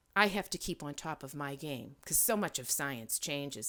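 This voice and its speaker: A woman with an American accent, very deep and low in pitch, lively in intonation, in a very clean recording with a silent background. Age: 60s. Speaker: environmental scientist and educator. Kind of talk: interview. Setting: podcast.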